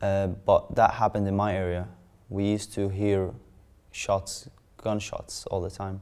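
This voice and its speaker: A man speaks fairly slowly at a fairly low pitch, with long, frequent pauses. His intonation is monotone and flat. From Syria. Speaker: refugee interviewee. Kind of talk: interview testimony. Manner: halting, with fillers.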